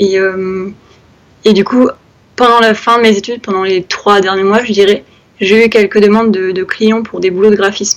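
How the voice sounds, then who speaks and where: A woman with a medium pitch speaks at a moderate pace in a monotone, flat intonation. She leaves long, frequent pauses. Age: 20s. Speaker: freelance graphic designer and illustrator. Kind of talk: casual interview.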